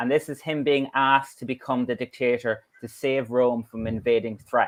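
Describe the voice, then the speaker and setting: The speaker has an Irish accent and a moderate pace. Intonation is fairly even, and the background is quiet. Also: man. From Ireland. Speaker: law professor. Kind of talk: lecture. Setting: online conference talk.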